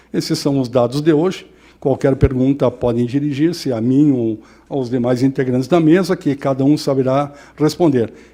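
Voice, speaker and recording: A man with a fairly high pitch and a dark, mellow tone speaks at a moderate pace with fairly even intonation. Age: 60s. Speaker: mayor. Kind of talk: press conference statement. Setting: press conference.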